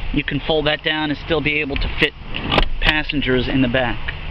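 A man talks with fairly even intonation. The sound is dry with no echo, and there is noticeable background noise. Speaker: car salesperson. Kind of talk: product walk-around commentary. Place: street. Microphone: phone near.

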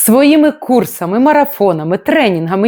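A woman's fairly high voice with very wide pitch swings, dry and close with no echo. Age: 40s. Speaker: life coach. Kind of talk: vlog monologue. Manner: emotional.

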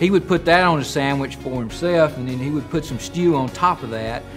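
A man's voice with ordinary pitch variation, clear music in the background. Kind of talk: interview answer. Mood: warm, nostalgic. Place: cafe.

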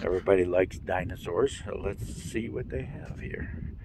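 A man over noticeable background noise, with a dry sound and no echo. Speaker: traveler vlogger. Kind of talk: casual vlog chat. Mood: relaxed, amused. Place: open country. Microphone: phone near.

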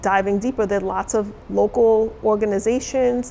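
A woman with an American accent at a moderate pace, with light background noise. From New York City. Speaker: college diversity officer; interviewee, college diversity educator. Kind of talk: interview. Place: studio.

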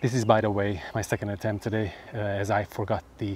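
With light background noise behind him, a man speaks at a fairly low pitch in a dry sound with no echo. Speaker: macro photographer vlogger. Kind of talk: casual vlog chat. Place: open country. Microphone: lapel.

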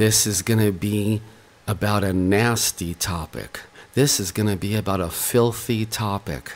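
Quiet and fairly slow, a man with a fairly low pitch speaks with fairly even intonation. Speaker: online preacher. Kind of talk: religious video message. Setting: at home. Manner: quiet, hushed.

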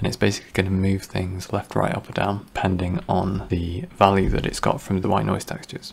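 This man has a very deep, low pitch, and there is noticeable background noise. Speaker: 3D graphics tutorial creator. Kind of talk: software tutorial narration.

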